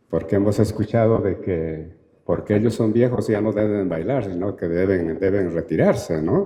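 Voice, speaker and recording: Audible room echo around a man's fairly low voice with ordinary pitch variation. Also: moderate pace. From Peru. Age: 60s. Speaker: anthropologist and university lecturer. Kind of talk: Q&A answer at a talk. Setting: auditorium.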